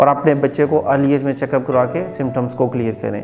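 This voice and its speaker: Over music in the background, a man talks at a fairly high pitch with fairly even intonation. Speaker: speech therapist. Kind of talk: educational explanation to camera. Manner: clear, explanatory.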